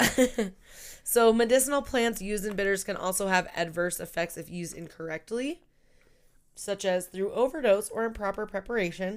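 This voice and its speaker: In a very clean recording with a silent background, a woman with an ordinary speaking voice and medium pitch talks at a moderate pace with ordinary pitch variation. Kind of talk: casual podcast conversation.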